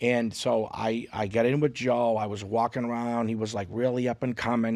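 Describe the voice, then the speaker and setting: The recording is very clean with a silent background as a man speaks in monotone, flat intonation. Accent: strong Boston. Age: 40s. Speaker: comedian and social media content creator. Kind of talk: casual podcast interview. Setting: podcast studio.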